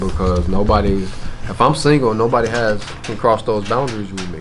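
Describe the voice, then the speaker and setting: A man with a Memphis accent talks at a moderate pace with hardly any pauses and ordinary pitch variation. Audible room echo and noticeable background noise fill the recording. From US South, Memphis. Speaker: rapper. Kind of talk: interview.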